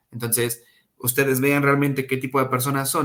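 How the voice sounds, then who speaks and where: A man with a medium pitch talks fairly quickly. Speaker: English teacher. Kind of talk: online class. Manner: fast.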